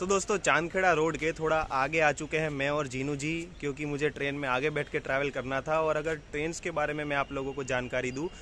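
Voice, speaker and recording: With light background noise and a dry sound with no echo, a man speaks at a moderate pace with fairly even intonation. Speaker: travel vlogger. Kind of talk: casual vlog chat. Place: station. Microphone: phone near.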